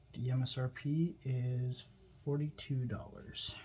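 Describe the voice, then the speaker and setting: Soft-spoken and somewhat breathy, a man whispers. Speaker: YouTuber doing product unboxing. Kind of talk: unboxing video. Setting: at home late at night. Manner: soft-spoken, kind of whispering.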